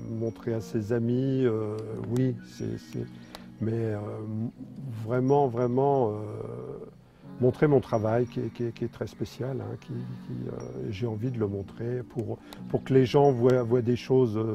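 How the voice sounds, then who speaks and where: Music plays in the background. A man speaks very slowly, with long, frequent pauses. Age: 60s. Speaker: sculptor. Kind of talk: interview. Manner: halting, many hesitations.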